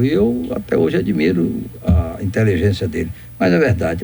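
Here is a man's voice with a dark, mellow tone. Vocal fry runs through it. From Brazil, interior of Bahia. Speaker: doctor and former politician. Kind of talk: radio interview.

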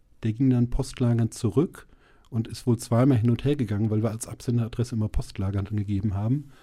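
A man's dark, mellow, somewhat breathy voice at a very fast pace. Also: medium pitch for a man, fairly even intonation. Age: 40s. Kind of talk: interview. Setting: studio. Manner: hesitant, many fillers.

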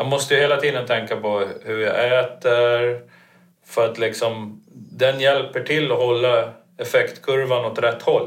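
Somewhat breathy and monotone with flat intonation, a man speaks at a medium pitch and a fairly slow pace. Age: 50s. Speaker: coaching client. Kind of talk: casual chat.

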